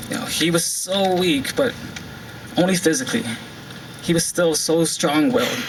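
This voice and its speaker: Against noticeable background noise, a man with a high-pitched voice speaks at a fairly slow pace. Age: 20s. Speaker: spoken word poet. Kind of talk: spoken word poetry performance. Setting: live event, outdoors. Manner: emotional, heartfelt.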